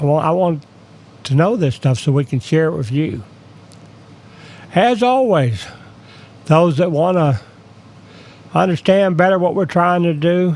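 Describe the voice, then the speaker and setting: Speaking at a fairly slow pace with long, frequent pauses, a man uses a high pitch and lively intonation. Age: 60s. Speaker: independent data analyst, YouTuber. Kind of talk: screen-share tutorial. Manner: casual, conversational.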